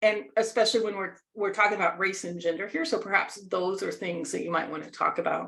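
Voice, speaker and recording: A woman with an American accent speaks in a normal speaking voice at a medium pitch with ordinary pitch variation. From United States. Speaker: leadership coach. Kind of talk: workshop presentation.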